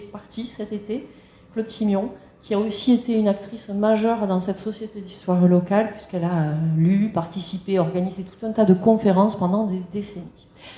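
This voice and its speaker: A woman's voice carries audible echo from the room. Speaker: local history society president. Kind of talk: public lecture. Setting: conference room with audience. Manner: fast.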